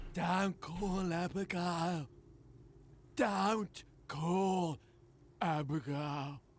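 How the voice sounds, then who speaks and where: Whispering in a put-on character voice, the speaker moves at a very slow pace with long, frequent pauses. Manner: whispering, slurring.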